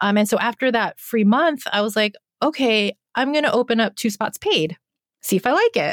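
A woman with a normal speaking voice and fairly high pitch talks at a moderate pace with lively intonation and very even loudness. The recording is very clean, with a silent background and a dry, close sound with no echo. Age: 40s. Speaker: animal photographer and creativity coach. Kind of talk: casual chat.

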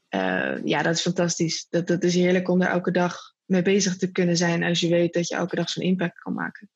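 Vocal fry runs through a woman's monotone, flat delivery at a fairly quick pace. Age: 20s. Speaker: social entrepreneur. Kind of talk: interview.

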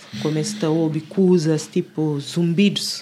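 Speaking at a fairly slow pace, a woman uses ordinary pitch variation in an ordinary speaking voice. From Lisbon area, Cova da Moura / Alfragide. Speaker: music producer and singer. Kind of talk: casual chat.

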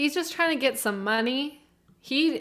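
This is a woman speaking. She has a Canadian accent. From Canada. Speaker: podcast co-host. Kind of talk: casual chat.

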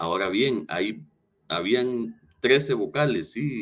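A man speaks at a medium pitch with very wide pitch swings. Vocal fry runs through his voice. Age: 30s. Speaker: lawyer and former prosecutor. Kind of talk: interview.

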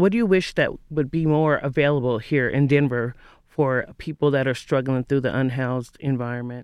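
This is a man with a normal speaking voice at medium pitch and ordinary pitch variation. He keeps a moderate pace and very even loudness. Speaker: interviewer. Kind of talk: interview.

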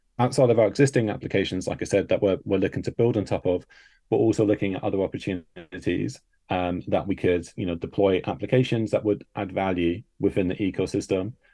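A man talks at a very fast pace with a fairly low pitch. His tone is dark and mellow over a quiet background. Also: ordinary pitch variation. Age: 30s. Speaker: crypto project founder. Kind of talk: casual chat.

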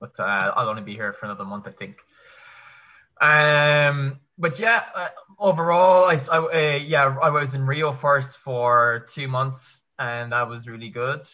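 Speaking slowly-ish at a fairly slow pace, a man with a Kerry accent uses a fairly high pitch, lively intonation, and big swings in loudness. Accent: Kerry Irish. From Ireland, County Kerry. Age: 20s. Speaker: online English teacher. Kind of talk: casual chat.

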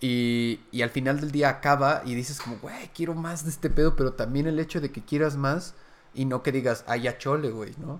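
At a moderate pace, a man speaks with fairly even intonation and a fairly high pitch. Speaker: podcast and stream host. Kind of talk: casual chat. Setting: live stream from a new set.

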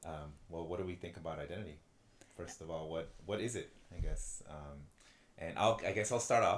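A man speaks at a moderate pace with a very deep, low pitch, an American accent, ordinary pitch variation, and a somewhat breathy sound. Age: 20s. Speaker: podcast co-host. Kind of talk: casual chat. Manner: halting.

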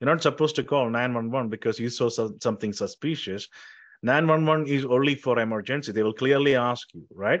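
In an Indian accent, a man speaks fairly quickly at a medium pitch with ordinary pitch variation. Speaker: tech company founder and CEO. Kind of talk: interview.

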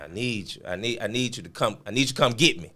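A man's voice with a bright, sharp tone. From Memphis, Tennessee. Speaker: clothing brand owner. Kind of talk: casual interview.

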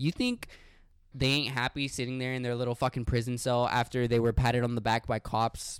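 A man with an American accent speaks in a passionate tone at a medium pitch and fairly quick pace. His intonation is monotone and flat, with a dry, close sound and no echo. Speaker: podcast co-host. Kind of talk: casual banter podcast, with an angry rant near 27:15.

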